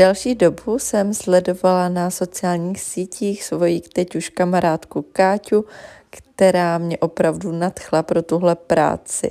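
Speaking at a fairly slow pace, a woman has a dark, mellow tone and fairly even intonation. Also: fairly low pitch for a woman. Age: 20s. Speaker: beauty consultant. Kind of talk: personal testimony.

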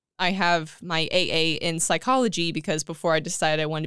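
A woman speaks in a Californian accent, fairly low in pitch with fairly even intonation. The recording is very clean, with a silent background. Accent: Californian American. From California, Central Valley (Tulare). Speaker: film editor. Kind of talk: casual chat.

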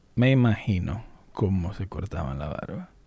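A man speaks in a dark, mellow, somewhat breathy voice. His pitch swings very widely. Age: 30s. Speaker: YouTuber. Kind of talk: casual vlog monologue. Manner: animated.

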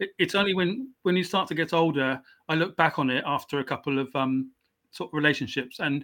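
In a very clean recording with a silent background, a man talks at a fairly quick pace in an English accent. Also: fairly high pitch for a man, ordinary pitch variation. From southwest England, raised in South Wales. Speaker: author and justice reform advocate. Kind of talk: interview. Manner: halting.

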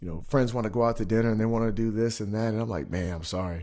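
A man at a medium pitch, very fast pace, and ordinary pitch variation. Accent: American. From US West, Spokane, Washington. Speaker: former pro football player. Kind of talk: casual interview. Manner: halting, many fillers.

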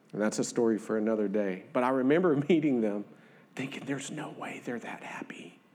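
In a Southern US accent, a man speaks at a fairly quick pace with a medium pitch and ordinary pitch variation. His loudness swings widely, and the room echo is audible. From northern Louisiana. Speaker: lay preacher. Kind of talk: sermon. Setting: church.

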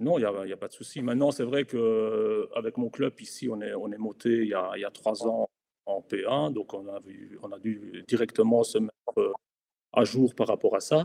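A man speaks at a moderate pace, his loudness swinging widely. The sound is dry and close, with no echo. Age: 40s. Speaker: amateur football club official. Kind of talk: casual chat.

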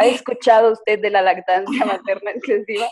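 Speaking at a fairly quick pace with fairly even intonation, a woman with a Mexican accent is captured in a dry, close sound with no echo. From Mexico, San Luis Potosí. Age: 20s. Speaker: photographer and blogger. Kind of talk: casual interview.

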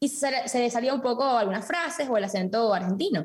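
A woman's high-pitched voice, very fast pace, ordinary pitch variation, noticeable background noise. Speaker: TikToker and accent impressionist. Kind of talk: casual comedic podcast chat. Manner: playful, switches accents.

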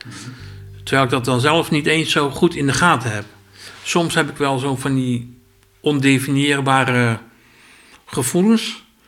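A man speaks at a fairly slow pace with long, frequent pauses and ordinary pitch variation. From Zeeland. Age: 50s. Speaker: asylum centre worker. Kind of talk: personal testimony interview.

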